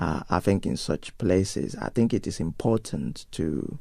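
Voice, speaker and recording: A man talks with a Nigerian accent in a dark, mellow tone. Vocal fry runs through his voice. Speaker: pastor. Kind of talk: interview. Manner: hesitant, many fillers.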